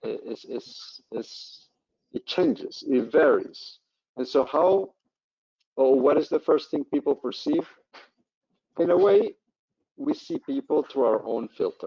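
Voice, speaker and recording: At a fairly slow pace, a man speaks with long, frequent pauses. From Colombia. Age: old. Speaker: professor. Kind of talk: Q&A after online lecture.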